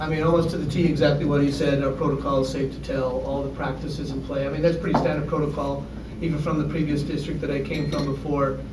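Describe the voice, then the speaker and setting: A man with a fairly high pitch speaks very fast, with hardly any pauses and monotone, flat intonation. Noticeable background noise and audible room echo fill the recording. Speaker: high school principal. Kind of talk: panel discussion.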